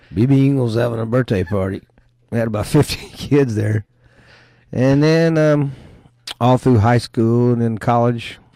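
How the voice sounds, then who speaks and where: A man with an Alabama accent talks at a moderate pace and a medium pitch, with ordinary pitch variation and long, frequent pauses. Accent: Southern US (Alabama). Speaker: event promoter and business owner. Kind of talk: radio interview, casual chat.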